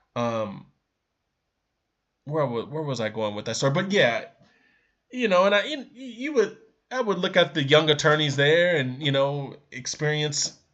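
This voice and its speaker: Against a quiet background, a man with an American accent talks at a moderate pace with lively intonation. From US West Coast, San Diego, California. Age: 30s. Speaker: day trader. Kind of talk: personal reflection monologue. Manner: halting, self-correcting.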